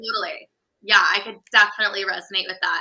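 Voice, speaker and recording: This woman has an American accent. Her pitch sits fairly high. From California. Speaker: business coach. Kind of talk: casual chat.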